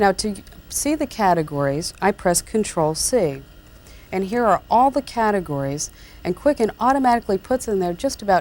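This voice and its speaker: Soft-spoken, with very wide pitch swings, a calm tone and a moderate pace. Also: woman. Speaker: computer tutor, columnist and radio talk show host. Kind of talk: software tutorial narration. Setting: 1994 VHS tape recording. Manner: calm, softly-spoken.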